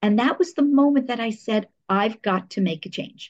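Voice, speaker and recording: The voice has lively intonation and a somewhat breathy quality, with an American accent. It moves at a moderate pace. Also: woman. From New Jersey, US. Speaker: public relations professional. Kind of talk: interview conversation.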